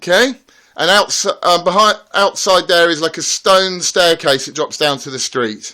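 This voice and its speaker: A man's raised, projected voice comes through at a high pitch in a bright, sharp tone, at a moderate pace. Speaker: homeowner giving a house tour. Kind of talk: casual walkthrough narration.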